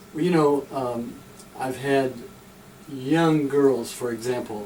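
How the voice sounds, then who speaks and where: A man talks very slowly at a medium pitch with fairly even intonation. Noticeable background noise and audible room echo surround him. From Tennessee. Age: 60s. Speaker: pastor walking across America. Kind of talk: radio interview. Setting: radio studio.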